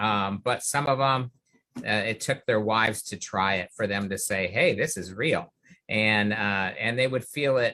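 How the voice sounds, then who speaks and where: A man's bright, sharp voice at a fairly slow pace, with ordinary pitch variation. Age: 60s. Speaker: integrative medicine physician. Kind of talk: interview. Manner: halting, many fillers.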